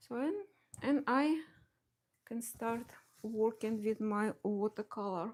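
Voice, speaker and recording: With a strong Russian accent, a woman with a fairly high voice speaks at a very slow pace, using ordinary pitch variation and long, frequent pauses. The recording is very clean, with a silent background. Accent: heavy Russian. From Belarus. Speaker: watercolor artist. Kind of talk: live painting tutorial. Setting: home studio live stream. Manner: halting, many fillers and restarts.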